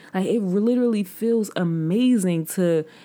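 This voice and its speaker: In a plain, everyday voice, a woman speaks at a fairly slow pace with ordinary pitch variation. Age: 20s. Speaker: podcast host. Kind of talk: solo monologue. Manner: casual, filler-heavy.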